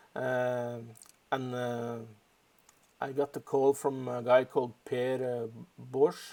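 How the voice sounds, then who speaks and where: A man with a Norwegian accent. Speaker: storyboard artist. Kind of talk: tutorial. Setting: home office live stream. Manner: halting.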